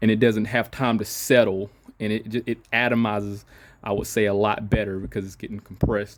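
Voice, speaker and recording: On a very clean recording with a silent background, a man speaks fairly quickly at a fairly low pitch in a monotone, flat way. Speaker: auto mechanic. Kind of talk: tutorial. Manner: halting, many fillers and restarts; casual.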